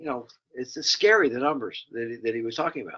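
Fast, lively intonation from a man with a fairly bright tone at medium pitch

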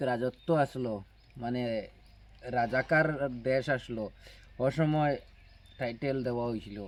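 An unremarkable speaking voice from a man, medium in pitch, with fairly even intonation. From Barak Valley, Assam, India. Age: 30s. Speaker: vlogger. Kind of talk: casual vlog talk to viewers.

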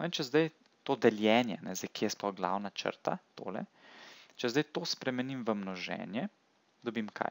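A man has a normal speaking voice at medium pitch with lively intonation. The recording is very clean and the background silent. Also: dry, close sound with no echo. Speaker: math tutor. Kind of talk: tutorial. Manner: casual, with filler words.

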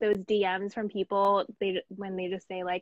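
A woman's voice with little pitch movement, the sound dry and close with no echo. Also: medium pitch for a woman, moderate pace.

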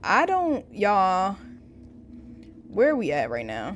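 A woman speaks slowly at a medium pitch, with very wide pitch swings. The recording is very clean, with a silent background.

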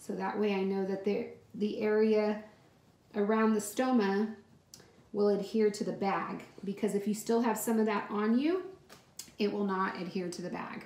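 A woman speaks at a moderate pace with monotone, flat intonation. Audible room echo surrounds her voice. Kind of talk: casual tutorial vlog. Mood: calm, reassuring. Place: bathroom. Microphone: phone near.

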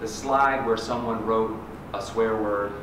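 A man speaks with fairly even intonation. Noticeable background noise and audible room echo are present. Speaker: poet and nonprofit director. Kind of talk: poem reading, after a short spoken intro to a library audience. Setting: reading at a library event. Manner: halting in the intro, then measured, deliberate and wry when reading. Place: hall. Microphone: podium.

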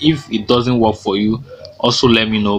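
The man's medium-pitched voice moves at a moderate pace while noticeable background noise runs underneath. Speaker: YouTuber giving study-abroad advice. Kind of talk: tutorial. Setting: screen-share recording. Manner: explanatory, filler-heavy.

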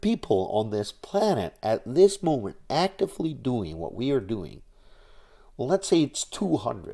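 A man's fairly high-pitched voice with a dark, mellow tone and vocal fry, very wide pitch swings, a fairly slow pace, and a quiet background. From Netherlands. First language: Dutch. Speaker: YouTuber on nuclear energy advocacy. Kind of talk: vlog monologue. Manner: halting, many fillers. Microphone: webcam.

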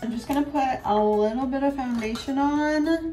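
Faint music plays behind a woman speaking at a fairly slow pace. Her pitch varies in an ordinary way. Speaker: beauty vlogger. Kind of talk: casual vlog chat. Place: bathroom. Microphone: phone near.

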